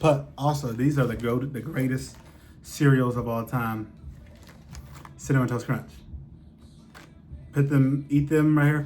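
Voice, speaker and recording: A somewhat breathy man with long, frequent pauses, in audible room echo. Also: medium pitch for a man, fairly slow pace. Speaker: vlogger. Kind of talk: casual chat. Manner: halting, many fillers.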